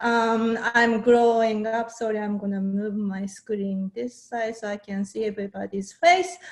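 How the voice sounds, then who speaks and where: A woman with a Japanese accent speaks at a fairly high pitch with ordinary pitch variation. Her pace is fairly slow and she hardly pauses. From Japan, Saitama. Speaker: fermented food maker and workshop instructor. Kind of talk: online workshop presentation. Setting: video call.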